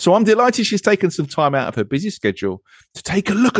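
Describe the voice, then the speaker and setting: A man with an English accent talks at a very fast pace, the sound dry and close with no echo against a quiet background. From England. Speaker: podcast host. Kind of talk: casual chat.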